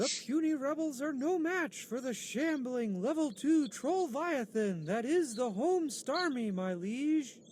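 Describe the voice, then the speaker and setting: This is a put-on character voice with a high pitch. It goes at a fairly slow pace. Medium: video game. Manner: formal, addresses ruler as liege.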